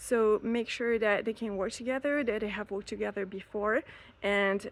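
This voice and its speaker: Speech in a French accent comes at a moderate pace with fairly even intonation. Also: woman. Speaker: elopement photographer and planner. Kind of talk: casual podcast advice talk. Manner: hesitant, many fillers.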